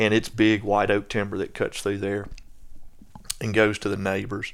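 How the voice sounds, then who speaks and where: In a strong Southern US accent, a man with a fairly low voice talks at a moderate pace in a flat monotone. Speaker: land management expert. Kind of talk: casual chat.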